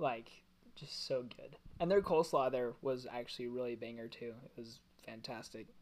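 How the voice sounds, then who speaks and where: A man talks at a fairly quick pace and medium pitch in a normal speaking voice. His pitch variation is ordinary, while his loudness swings widely. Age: 20s. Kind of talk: casual chat.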